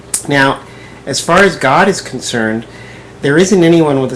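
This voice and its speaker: Noticeable background noise accompanies the man's moderately paced speech. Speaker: video blogger. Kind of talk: response video monologue.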